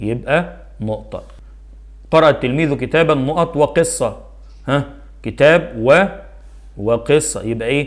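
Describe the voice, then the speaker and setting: A man with an Egyptian accent speaks at a fairly slow pace, with long, frequent pauses. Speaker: primary school Arabic teacher. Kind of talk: tutorial. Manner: animated.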